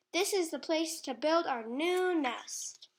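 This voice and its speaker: A woman puts on a character voice pitched extremely high, talking at a fairly slow pace. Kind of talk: children's read-aloud. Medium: read story. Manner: emphatic, fussy.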